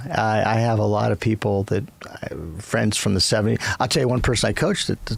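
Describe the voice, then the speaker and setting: Fairly low pitch from a man with an American accent, at a fairly quick pace with ordinary pitch variation, over noticeable background noise. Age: 60s. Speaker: business chairman and former coach. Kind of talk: interview.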